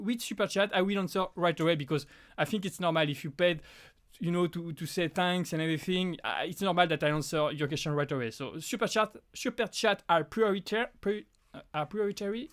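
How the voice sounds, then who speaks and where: Speaking with a French accent at a fairly quick pace, a man with a high pitch comes through on a very clean recording with a silent background. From France. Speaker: prop maker and YouTuber. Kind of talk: live stream Q&A. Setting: home live stream. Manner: halting, many restarts.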